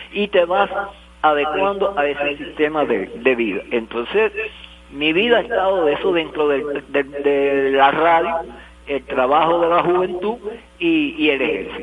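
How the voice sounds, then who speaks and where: A man talks at a fairly slow pace with a fairly high pitch and lively intonation. Noticeable background noise runs under his voice. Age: 70s. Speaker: retired radio director. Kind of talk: interview.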